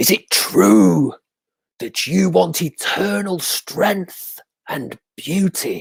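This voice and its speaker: A man's put-on character voice, fairly high-pitched and very slow. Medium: read story. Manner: measured, solemn.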